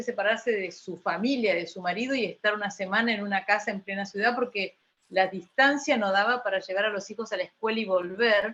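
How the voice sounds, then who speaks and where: The woman's tone is bright and sharp, with a fairly high pitch. She speaks at a moderate pace with fairly even intonation. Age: 60s. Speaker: researcher of rural women's histories. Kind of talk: panel discussion.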